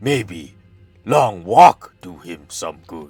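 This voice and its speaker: Over faint music in the background, a man does a raspy, put-on character voice. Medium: game stream. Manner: broken grammar, blunt.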